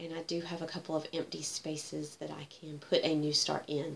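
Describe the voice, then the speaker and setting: This woman has an ordinary speaking voice, pitched fairly low. She talks at a moderate pace. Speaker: cross-stitch vlogger. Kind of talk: casual chat.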